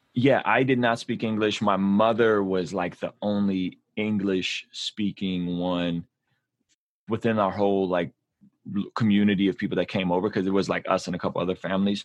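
A man with a West Coast accent and fairly low pitch talks at a moderate pace with fairly even intonation. The sound is dry and close with no echo, over a quiet background. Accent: American English, West Coast. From born in Azerbaijan, raised in San Diego. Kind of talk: casual chat.

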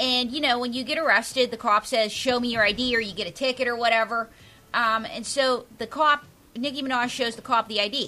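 A squeaky voice with a bright, sharp tone moves at a fairly quick pace. It carries a Pittsburgh accent. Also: woman, high pitch for a woman, fairly even intonation. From Pittsburgh area, Pennsylvania. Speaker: stand-up comedian. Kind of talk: casual chat. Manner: fast.

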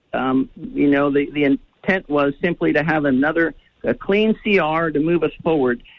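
An American accent marks a man's unremarkable speaking voice, delivered at a moderate pace with ordinary pitch variation. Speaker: congressman. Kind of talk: radio interview.

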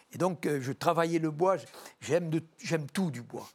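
This man has a normal speaking voice, a fairly high pitch, and talks at a moderate pace. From rural France. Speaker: doctor and explorer. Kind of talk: TV talk show interview.

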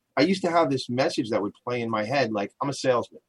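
Talking at a very fast pace with an American accent, a man uses a medium pitch and ordinary pitch variation, the sound dry and close with no echo. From Long Island, New York. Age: 40s. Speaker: radio talk show host. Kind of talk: interview talk show. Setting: home attic studio. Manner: loud, energetic.

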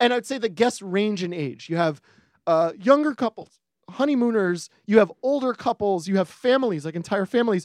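High-pitched for a man, his voice carries an American accent and lively intonation. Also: moderate pace, dry, close sound with no echo. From New York. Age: 40s. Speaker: screenwriter. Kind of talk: casual chat.

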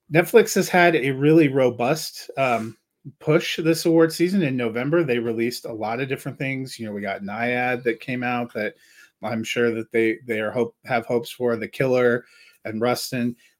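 Here a man has an ordinary speaking voice of medium pitch with ordinary pitch variation, talking at a moderate pace on a very clean recording with a silent background. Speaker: movie podcast host. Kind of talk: casual chat.

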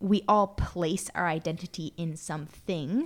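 A woman's normal speaking voice in an American accent, medium in pitch with ordinary pitch variation, in a very clean recording with a silent background. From Arizona. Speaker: podcast co-host. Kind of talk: casual chat.

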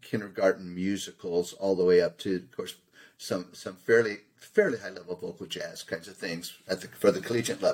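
A man with an unremarkable speaking voice talks at a moderate pace and a fairly low pitch, with big swings in loudness. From Southern California. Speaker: choral composer and arranger. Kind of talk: interview.

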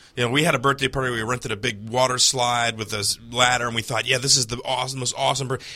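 A man at medium pitch, very fast, monotone and flat, with hardly any pauses. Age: 40s. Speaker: comedian. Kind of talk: casual chat. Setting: studio.

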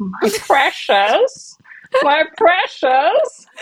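Using a put-on character voice, a woman pitches high and makes very wide pitch swings.

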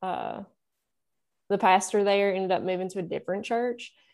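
Here a woman talks with a Southern US accent. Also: very clean recording, silent background. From Nashville, Tennessee. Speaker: musician. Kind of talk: casual interview chat.

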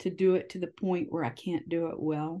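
A woman talks at a fairly slow pace in a dark, mellow tone, with a fairly low pitch and ordinary pitch variation. The background is quiet. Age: 70s. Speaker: newspaper publisher and editor. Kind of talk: interview.

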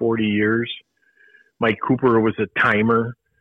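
Speaking at a moderate pace, a man uses an ordinary speaking voice. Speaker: retired race director. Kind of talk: casual interview.

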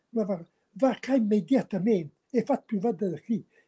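With ordinary pitch variation, the voice has a dark, mellow tone and a dry, close sound with no echo. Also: man. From Tortona, Piedmont, northern Italy. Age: 80s+. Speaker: local historian. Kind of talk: storytelling. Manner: gentle.

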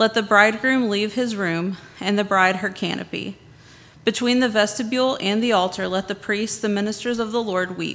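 Her moderate pace, medium pitch and fairly even intonation give this woman an unremarkable speaking voice. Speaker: scripture reader. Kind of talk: reading aloud scripture in worship. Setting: church.

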